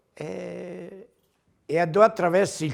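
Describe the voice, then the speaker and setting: In a very clean recording against a silent background, a man can be heard talking. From Campania, Irpinia (Mirabella Eclano). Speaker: ox breeder. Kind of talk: interview storytelling. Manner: hesitant, many fillers.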